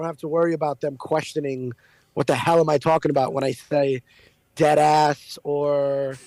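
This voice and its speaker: With a New York accent, a man with a fairly high pitch and a dark, mellow tone speaks at a moderate pace in a monotone, flat intonation, the sound dry and close with no echo. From New York City. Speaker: radio host. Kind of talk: interview. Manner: casual, blunt.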